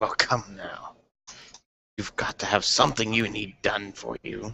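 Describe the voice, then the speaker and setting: A put-on character voice from a man, fairly low in pitch, at a moderate pace. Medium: actual play. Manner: pompous, haggling.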